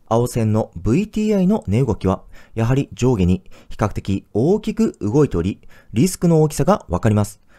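A man talks at a moderate pace and medium pitch, his dark, mellow tone swinging very widely. The recording is very clean with a silent background and a dry, close sound with no echo. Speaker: personal finance YouTuber. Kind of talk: educational explainer. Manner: clear, explanatory.

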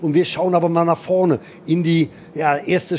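Noticeable background noise surrounds a man speaking at a moderate pace in a fairly high pitch. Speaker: motorsport commentator. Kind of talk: live commentary. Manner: animated.

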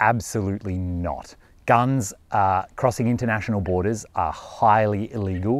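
At a moderate pace, a man talks in a fairly low pitch, the sound dry with no echo. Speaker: overland travel vlogger. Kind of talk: casual vlog chat. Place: forest. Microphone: lapel.

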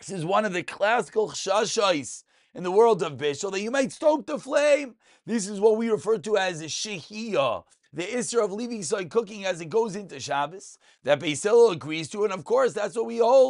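Against a quiet background, a man speaks at a moderate pace with lively intonation. His loudness swings a lot. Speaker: religious text teacher. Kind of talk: lecture.

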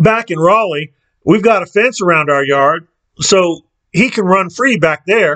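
Over a quiet background, the text is read aloud in a natural voice with lively intonation.

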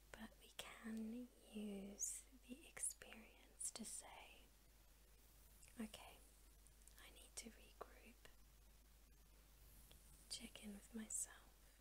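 A woman at a very slow pace with long, frequent pauses, big swings in loudness, and noticeable background noise. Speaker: ASMR artist. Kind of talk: ASMR girlfriend roleplay. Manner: gentle, comforting. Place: home room. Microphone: studio mic.

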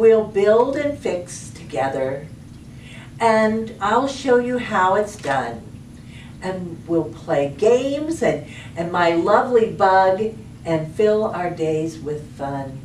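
A woman speaks at a very slow pace, with audible room echo and light background noise. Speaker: storytime reader. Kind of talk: children's story reading. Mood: warm, cheerful. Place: home room.

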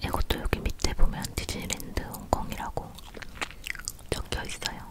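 Someone is whispering at a moderate pace. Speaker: ASMR creator. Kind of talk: casual ASMR chat while eating, showing souvenirs. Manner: soft-spoken. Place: home room.

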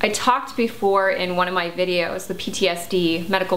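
Light background noise is present. Over it, a woman talks at a moderate pace. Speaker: health vlogger. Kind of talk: casual vlog chat. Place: home room.

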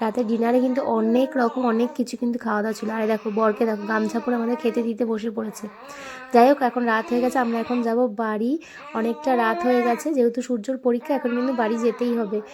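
Noticeable background noise runs under a woman's fairly high voice, which has fairly even intonation. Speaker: lifestyle vlogger. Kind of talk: vlog voice-over narration. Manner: chatty, conversational.

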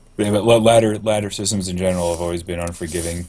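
This man talks at a very fast pace in a very deep, low voice, his intonation fairly even. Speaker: gaming podcast co-host. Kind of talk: casual chat. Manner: mellow. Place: home room. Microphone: video call.

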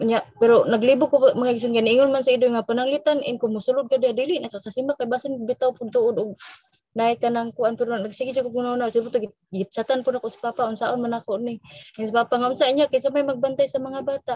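Very fast speech from a woman with a high pitch and a dark, mellow tone, fairly even intonation, a dry sound with no echo and a quiet background. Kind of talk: testimony, spontaneous church sharing. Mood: grateful, slightly unsure. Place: home room. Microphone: video call.

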